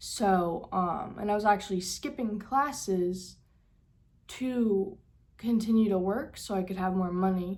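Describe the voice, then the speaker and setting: A woman's somewhat breathy voice sits at a medium pitch with fairly even intonation, heard with audible room echo. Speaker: vlogger. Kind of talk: casual vlog talk. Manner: halting, with fillers.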